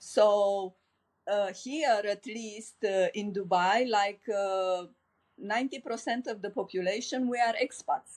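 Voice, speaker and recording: A woman with a Romanian accent speaks at a very slow pace, her medium pitch showing ordinary variation. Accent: Romanian accent, noticeable. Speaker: life coach. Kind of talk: podcast interview.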